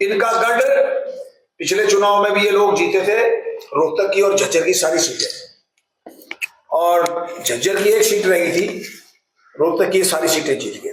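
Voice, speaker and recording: A man is speaking with audible room echo. He takes long, frequent pauses. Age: 70s. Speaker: politician. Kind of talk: press interview.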